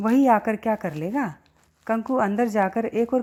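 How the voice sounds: The clip features a natural reading voice.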